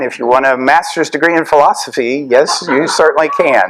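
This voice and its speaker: A man with an American accent and a fairly high pitch speaks at a fairly quick pace with ordinary pitch variation, against noticeable background noise. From US South, Tennessee. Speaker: professor. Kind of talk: lecture. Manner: conversational, casual.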